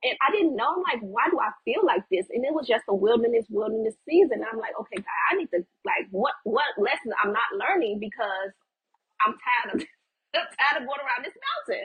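This woman has a high pitch and an American accent. She talks at a fairly quick pace with very wide pitch swings. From Chicago, US Midwest. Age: 30s. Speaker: ministry leader and YouTuber. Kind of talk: casual chat. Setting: recorded at home with kids nearby.

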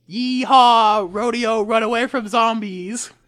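A put-on, female-sounding character voice in a Texan accent, fairly high in pitch, at a fairly slow pace

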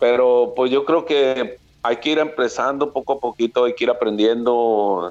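In an ordinary speaking voice, a man talks at a fairly slow pace with medium pitch, ordinary pitch variation and very even loudness. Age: 40s. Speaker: former baseball pitcher, now coach. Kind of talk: interview.

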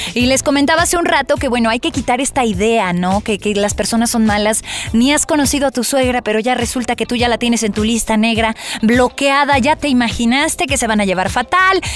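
A woman speaks at a fairly quick pace in a high pitch with ordinary pitch variation. Her loudness stays very even. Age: 20s. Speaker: radio host. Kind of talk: casual chat. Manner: animated.

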